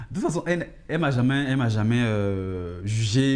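Background sound stays quiet throughout. The tone of the voice is dark and mellow. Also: man. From Ivory Coast. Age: young. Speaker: fashion model and radio host; radio host. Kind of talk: TV interview. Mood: personal, reflective, calm. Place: studio.

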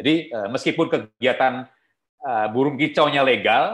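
The man's speech has lively intonation. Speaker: wildlife trade conservation expert; guest lecturer. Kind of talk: online guest lecture. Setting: video call. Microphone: video call.

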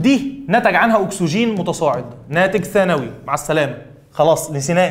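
At a fairly slow pace, a man speaks with lively intonation. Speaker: biology teacher. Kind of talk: lecture. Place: studio.

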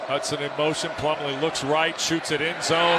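A man's high-pitched voice, fairly slow, with noticeable background noise. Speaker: play-by-play commentator. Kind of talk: live sports commentary. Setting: broadcast booth with game audio.

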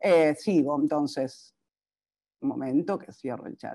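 A woman's very deep, low voice with a dark, mellow tone, very slow pace and ordinary pitch variation against a quiet background. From Argentina. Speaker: psychologist; presenter, speaker. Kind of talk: conference talk. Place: home room. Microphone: webcam.

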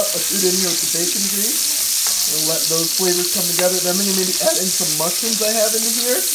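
The talking moves along at a fairly quick pace, with loud background noise behind it. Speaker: home cook vlogger. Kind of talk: casual cooking vlog chat. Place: kitchen. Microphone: phone near.

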